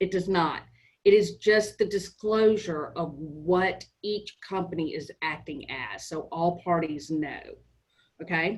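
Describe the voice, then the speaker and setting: Very slowly, a woman speaks with big swings in loudness. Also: medium pitch for a woman, ordinary pitch variation. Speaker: real estate trainer. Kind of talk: training session. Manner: casual, conversational.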